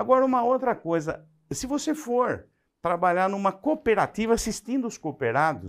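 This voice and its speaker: Pitch swings very widely at a moderate pace on a very clean recording with a silent background. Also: man, high pitch for a man. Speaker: agronomy lecturer. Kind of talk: lecture.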